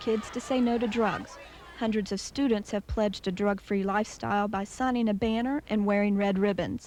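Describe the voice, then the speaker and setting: A woman using an ordinary speaking voice talks at a fairly high pitch and a moderate pace. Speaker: television news reporter. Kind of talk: TV news report voiceover.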